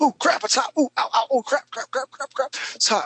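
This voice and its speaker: His pitch sits extremely high. The man is doing a put-on character voice. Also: moderate pace. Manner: comic, yelping.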